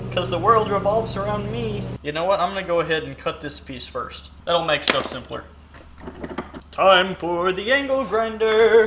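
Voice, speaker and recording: With audible room echo and noticeable background noise, a man speaks at a high pitch and moderate pace, his intonation lively and his loudness swinging widely. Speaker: DIY maker video host. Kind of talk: workshop tutorial. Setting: home workshop.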